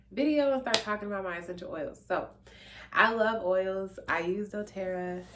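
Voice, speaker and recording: Noticeable background noise beneath lively intonation at a moderate pace. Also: woman. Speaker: YouTuber / vlogger. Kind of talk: casual product vlog.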